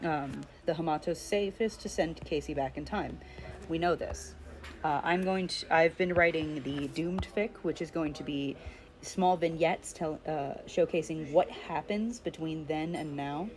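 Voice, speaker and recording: A woman talks in a very deep, low pitch with fairly even intonation. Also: moderate pace. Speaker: streamer and fan artist. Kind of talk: casual chat. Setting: live stream while drawing. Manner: halting, many fillers.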